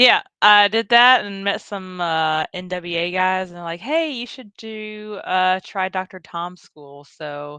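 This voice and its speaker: A woman in a Southern US accent at a very slow pace. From US South, Alabama family. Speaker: pro wrestler in training. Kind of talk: casual podcast interview.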